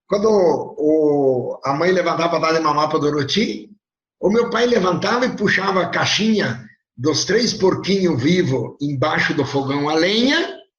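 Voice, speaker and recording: Audible room echo surrounds a man with a high pitch who speaks at a fairly slow pace with very even loudness. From southern Brazil, Rio Grande do Sul highlands (Casca). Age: 70s. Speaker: pig industry businessman. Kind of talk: interview, life story. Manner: conversational, with hesitations.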